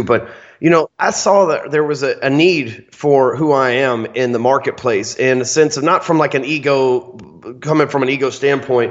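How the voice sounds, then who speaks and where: A man with a Texan accent, fairly high in pitch, at a moderate pace with ordinary pitch variation and very even loudness. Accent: Texan, Southern US. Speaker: guest, sales trainer. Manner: loud, salesman-like.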